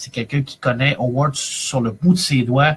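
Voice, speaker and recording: A man with a Quebec accent talks in a fairly high pitch, his voice somewhat breathy. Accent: Québécois French. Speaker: librarian and comics reviewer. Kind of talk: live-streamed review chronicle. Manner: animated, many hesitations.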